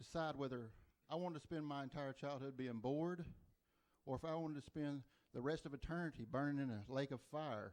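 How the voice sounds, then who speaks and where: A man with an Oklahoma accent, fairly high pitch, ordinary pitch variation and a fairly quick pace. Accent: Oklahoma Southern. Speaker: stand-up comedian. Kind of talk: stand-up. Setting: comedy club stage with audience.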